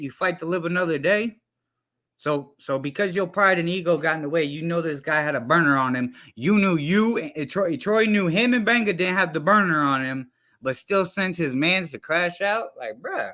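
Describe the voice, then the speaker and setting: A man shouts at a moderate pace, his high voice bright and sharp, with a passionate tone and ordinary pitch variation. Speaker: live streamer commenting on hip-hop news. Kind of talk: casual livestream commentary. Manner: yelling, passionate.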